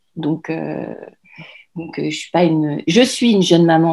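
At a moderate pace, a woman speaks with a very deep, low pitch, a dark, mellow tone and ordinary pitch variation in a very clean recording with a silent background. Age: 40s. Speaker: mother and blogger. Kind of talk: interview. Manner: halting.

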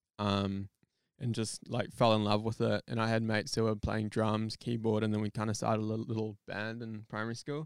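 A man with a New Zealand accent, fairly low pitch, monotone flat intonation and a fairly quick pace, in a dry, close sound with no echo. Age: 20s. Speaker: photographer and videographer. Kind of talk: casual chat.

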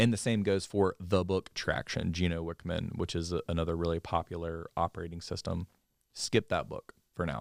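With an American accent, a man speaks at a moderate pace in a very deep, low pitch with fairly even intonation, recorded dry and close with no echo in a very clean recording against a silent background. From US South, Mobile, Alabama. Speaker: finance company CEO. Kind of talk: interview. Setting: podcast studio.

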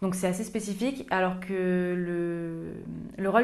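A woman at medium pitch, fairly even in intonation, with audible room echo. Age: 20s. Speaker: customer success manager. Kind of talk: interview.

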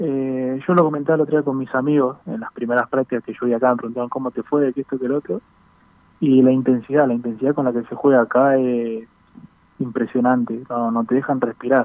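A man's plain, everyday voice at medium pitch, with fairly even intonation and a fairly quick pace. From Buenos Aires, Argentina. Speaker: professional footballer. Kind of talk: interview.

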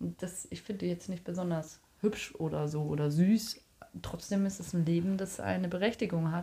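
A woman speaks at a fairly slow pace and a fairly low pitch, somewhat breathy. Her tone is dark and mellow, and her intonation is monotone and flat. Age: 30s. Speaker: podcast co-host. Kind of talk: casual chat. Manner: talkative.

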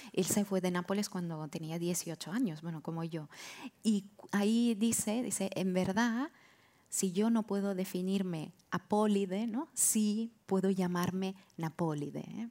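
A woman speaks with a dark, mellow tone. Her pace is fairly slow, with ordinary pitch variation. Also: medium pitch for a woman. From Italy, Naples area (Castellammare di Stabia). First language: Italian / Neapolitan (speaking Spanish). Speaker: translator and writer. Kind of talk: live podcast panel discussion. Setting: stage with live audience.

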